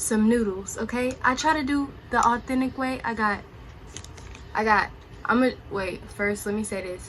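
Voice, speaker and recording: Noticeable background noise sits behind the recording. Over it, a woman speaks at a fairly high pitch. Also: ordinary pitch variation, moderate pace. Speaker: YouTuber. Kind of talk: mukbang true crime chat. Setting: at home. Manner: soft-spoken; casual, with mouth full at times.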